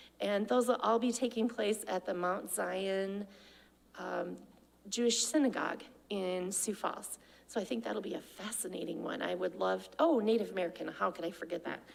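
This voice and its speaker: Her pitch medium with ordinary variation, a woman talks at a moderate pace. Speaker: adult education program director. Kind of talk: presentation to a club meeting. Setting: club meeting with audience. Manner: animated.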